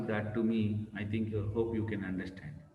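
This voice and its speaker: Amid noticeable background noise and audible room echo, a man speaks with a fairly low pitch. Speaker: professor. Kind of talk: lecture.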